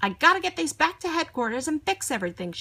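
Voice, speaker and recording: In a dry, close sound with no echo, a woman uses a put-on character voice at high pitch, very fast, with very wide pitch swings. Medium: read story.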